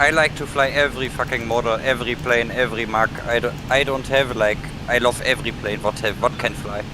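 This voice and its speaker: A German accent over noticeable background noise, with fairly even intonation. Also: man, medium pitch for a man, fairly quick pace. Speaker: flight sim gamer. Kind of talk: casual chat.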